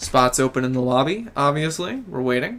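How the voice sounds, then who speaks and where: Here is a man with an American accent. He talks at a fairly quick pace with lively intonation. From Memphis, Tennessee. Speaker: game streamer. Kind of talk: casual live stream chat. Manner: relaxed, casual with fillers.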